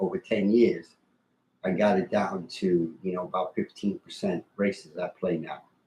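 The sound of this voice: A man with a low pitch speaks at a fairly slow pace, his dark, mellow tone carrying a husky, rough edge and fairly even intonation.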